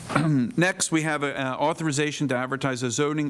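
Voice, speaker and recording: There is noticeable background noise behind this man. He speaks at a fairly quick pace with a medium pitch. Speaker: board chairman. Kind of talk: public meeting. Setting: township board meeting. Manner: loud.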